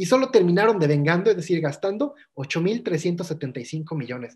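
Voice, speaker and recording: In a Mexican accent, a man talks at a fairly quick pace with a high pitch and lively intonation. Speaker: workshop instructor. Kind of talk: lecture. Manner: fast.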